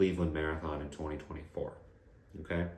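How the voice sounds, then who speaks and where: There is audible room echo. A man is speaking. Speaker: running coach and physical therapist. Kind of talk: tutorial. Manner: monotone.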